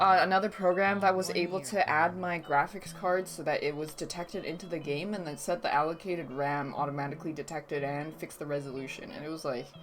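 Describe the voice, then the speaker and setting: A fairly quick delivery with hardly any pauses, a non-native accent, ordinary pitch variation, and noticeable background noise. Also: woman. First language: not English. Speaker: streamer. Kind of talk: casual chat. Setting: live stream.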